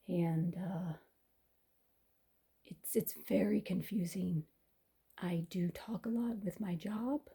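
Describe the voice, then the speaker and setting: Somewhat breathy and fairly low for a woman, her dark, mellow voice moves at a very slow pace with ordinary pitch variation and long, frequent pauses. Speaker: writer. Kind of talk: casual chat. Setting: basement at home.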